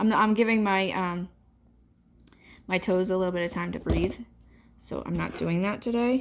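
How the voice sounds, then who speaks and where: Long, frequent pauses break up a woman's moderately paced speech. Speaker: nail polish strip seller. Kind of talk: tutorial. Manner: casual, hesitant with fillers.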